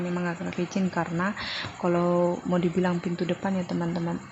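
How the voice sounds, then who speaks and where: A woman speaks in a fairly low pitch over noticeable background noise. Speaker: vlogger, stay-at-home mother. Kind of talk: vlog voiceover narration. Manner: chatty, talkative.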